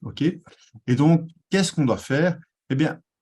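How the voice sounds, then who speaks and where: A man with a Belgian accent. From Belgium. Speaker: tech community manager and presenter. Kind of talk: conference presentation. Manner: hesitant, many fillers.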